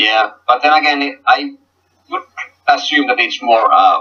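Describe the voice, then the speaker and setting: A man at a moderate pace, in a Finnish accent. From Finland. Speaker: gaming league team coach. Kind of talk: casual interview. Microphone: poor audio quality.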